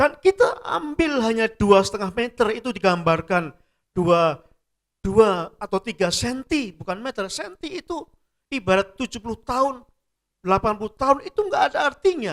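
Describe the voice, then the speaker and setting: The recording is dry and close, with no echo. A man speaks at a moderate pace in a high pitch with very wide pitch swings. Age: 60s. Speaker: pastor. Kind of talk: sermon.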